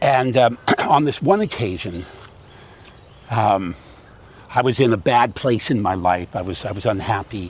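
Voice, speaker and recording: Amid noticeable background noise, a man of medium pitch with an American accent talks at a moderate pace with long, frequent pauses. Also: ordinary pitch variation. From California, US. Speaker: theatre director and acting coach. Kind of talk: interview conversation. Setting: outdoors by a harbour. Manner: loud; animated.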